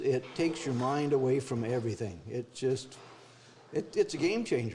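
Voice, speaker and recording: A man's moderate pace and ordinary pitch variation come through with noticeable background noise. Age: 70s. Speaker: army veteran. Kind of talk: testimony.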